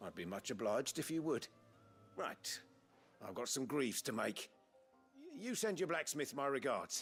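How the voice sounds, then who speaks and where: Against faint background music, a man does a put-on character voice that is raspy and fairly high, with very wide pitch swings, a moderate pace and long, frequent pauses. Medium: video game. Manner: wry, understated.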